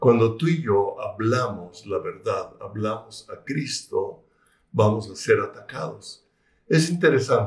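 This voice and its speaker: Big swings in loudness at a very slow pace. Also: man. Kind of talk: religious talk. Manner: hesitant fillers.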